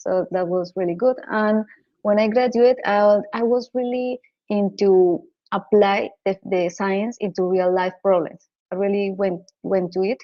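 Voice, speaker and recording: A woman with a Colombian accent speaks at a fairly slow pace. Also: medium pitch for a woman, fairly even intonation. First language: Spanish. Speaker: data scientist. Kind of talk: interview. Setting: radio show. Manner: halting, frequent repetitions.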